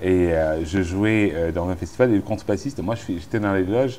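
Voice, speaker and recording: A man with a very deep, low voice talks at a fairly quick pace. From Cameroon, Douala. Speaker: musician and musicologist. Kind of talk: interview. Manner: relaxed; hesitant, many fillers.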